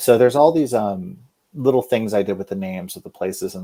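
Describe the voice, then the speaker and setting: A man speaks in an Oklahoma accent with a dark, mellow tone. His intonation is lively. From Oklahoma, Guthrie. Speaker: fantasy author. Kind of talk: interview. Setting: live show.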